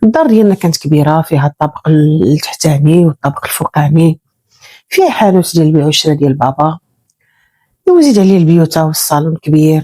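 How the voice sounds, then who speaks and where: A woman with a very deep, low pitch and a dark, mellow tone speaks at a fairly quick pace with ordinary pitch variation and very even loudness, the sound dry and close with no echo. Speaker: storyteller. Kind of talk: first-person real-life story narration.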